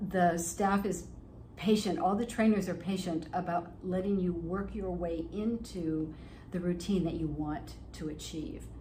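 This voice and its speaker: Recorded with audible room echo, a woman speaks fairly slowly in a fairly low voice with vocal fry and fairly even intonation. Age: 70s. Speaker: fitness client. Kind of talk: testimonial interview.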